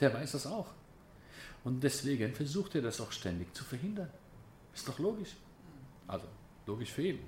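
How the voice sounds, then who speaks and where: A man with a fairly high pitch and vocal fry speaks at a moderate pace, with very wide pitch swings. Long, frequent pauses and audible room echo mark the recording. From Germany, then Israel from age 11. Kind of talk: lecture. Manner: casual, conversational.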